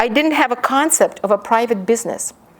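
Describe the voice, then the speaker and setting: Here a woman talks at a fairly quick pace in a Ukrainian accent. Her pitch varies in an ordinary way. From Ukraine. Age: 50. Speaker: professor. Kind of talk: lecture with reading aloud.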